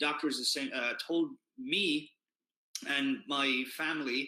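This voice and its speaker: A man speaks with an Irish accent. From Ireland. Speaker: keto community founder. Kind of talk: live stream talk. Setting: Facebook Live. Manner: casual, many fillers.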